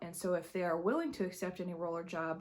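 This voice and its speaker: A woman speaks quietly and fairly quickly in a fairly low pitch. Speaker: high school drama director and vlogger. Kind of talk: vlog. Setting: empty school. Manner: quiet, hushed.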